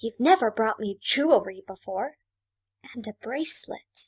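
Over a silent background in a very clean recording, a female-sounding voice puts on a character voice at a fairly high pitch and a moderate pace. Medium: audio drama. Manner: gentle.

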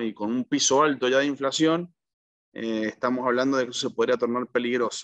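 The voice moves at a moderate pace with ordinary pitch variation. The sound is dry with no echo, and the background is quiet. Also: man. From Argentina. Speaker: accountant and economic analyst; economic analyst. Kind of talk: interview answer, economic analysis. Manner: hesitant, frequent fillers (eh, digamos). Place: home room. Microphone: video call.

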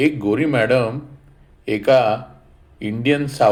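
A natural reading voice, pitch moving in an ordinary way

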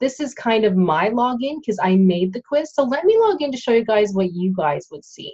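A woman speaks at a moderate pace with a somewhat breathy, fairly high voice, her intonation lively and her loudness swinging widely. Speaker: online tutor. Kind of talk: tutorial. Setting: screen share, home recording. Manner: informal, hesitant with fillers.

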